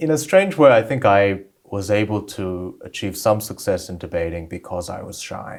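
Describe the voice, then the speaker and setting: In an Australian accent, a man speaks at a fairly low pitch and a moderate pace, with ordinary pitch variation and big swings in loudness. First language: Korean. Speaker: debater and author. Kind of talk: interview.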